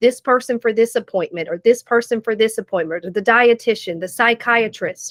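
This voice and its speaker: This voice has a Southern US accent and a dry, close sound with no echo. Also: woman. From US South, North Carolina. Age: 30s. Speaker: patient giving testimonial. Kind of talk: testimony.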